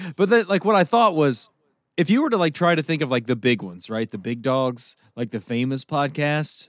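Fairly quick male speech with very wide pitch swings, dry and close with no echo on a very clean recording with a silent background. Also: fairly high pitch for a man. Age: 30s. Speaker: podcast co-host. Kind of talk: casual chat.

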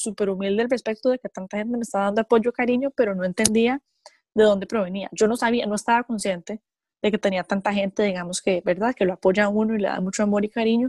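At a very fast pace, a woman speaks in a medium pitch with fairly even intonation, the sound dry and close with no echo. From Costa Rica. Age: 20s. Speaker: professional wrestler. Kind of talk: interview.

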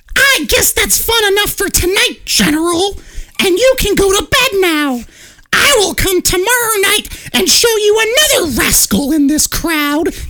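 A female-sounding, put-on character voice comes at a moderate pace with an extremely high pitch. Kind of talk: old-fashioned storytelling. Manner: eerie, theatrical.

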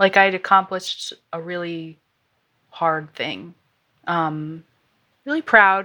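Very slow and marked by long, frequent pauses, a woman speaks with an American accent at a fairly low pitch. Her loudness swings widely while her pitch varies in an ordinary way. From US small town. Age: 20s. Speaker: listener sharing money story. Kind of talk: interview. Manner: laughs often.

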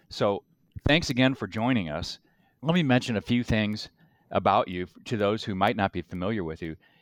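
Recorded with a dry, close sound and no echo against a quiet background, a man with a normal speaking voice talks at a fairly quick pace and fairly low pitch. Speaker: podcast co-host, lawyer. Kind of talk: casual interview.

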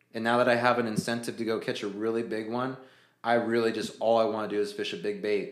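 A medium-pitched man with an American accent, ordinary pitch variation and a very fast pace, in a room with audible echo. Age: 30s. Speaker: fishing sales rep and guide. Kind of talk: casual chat.

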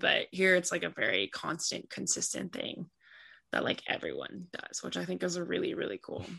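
A woman speaks at a medium pitch, her tone bright and sharp with vocal fry. Her pace is moderate and the background quiet. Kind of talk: interview answers. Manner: casual, laid-back.

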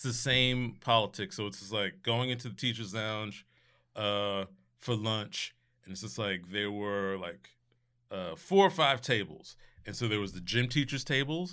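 With an ordinary speaking voice, a man talks at a moderate pace in a fairly low pitch, showing ordinary pitch variation and big swings in loudness, in a very clean recording with a silent background. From New Jersey, Scotch Plains. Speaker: comedian and performer. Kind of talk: casual chat.

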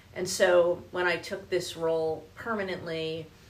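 Audible room echo surrounds a woman with an American accent and a fairly low pitch. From New Jersey. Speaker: business executive. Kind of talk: interview. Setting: studio.

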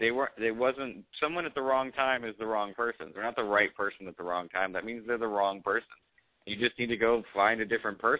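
With an American accent, this man has an ordinary speaking voice and ordinary pitch variation. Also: medium pitch for a man, fairly quick pace. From US West Coast (Los Angeles). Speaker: actor and comedian. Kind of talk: casual chat on call-in advice show. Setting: patched in remotely.

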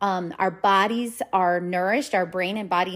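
The very clean recording, with a silent background, captures a woman with a plain, everyday voice speaking at a moderate pace and medium pitch, her intonation fairly even. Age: 40s. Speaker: weight loss coach and counselor. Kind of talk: podcast monologue. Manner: casual, with many filler words.

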